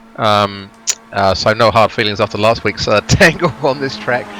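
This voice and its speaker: With noticeable background noise behind him, a man speaks at a fairly low pitch with ordinary pitch variation. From Wales. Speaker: sim racing commentator. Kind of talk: casual chat. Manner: halting, many fillers.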